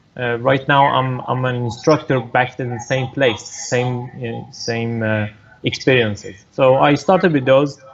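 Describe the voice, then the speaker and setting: A man at medium pitch and a fairly slow pace, with ordinary pitch variation and noticeable background noise. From Iran. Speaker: racing driver. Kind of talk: interview. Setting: video call. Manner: halting.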